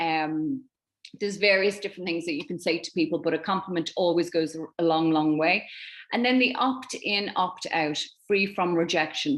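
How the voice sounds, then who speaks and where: With a slight Irish accent, a woman talks fairly quickly at a fairly low pitch with ordinary variation. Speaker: network marketing team leader. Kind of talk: online training presentation.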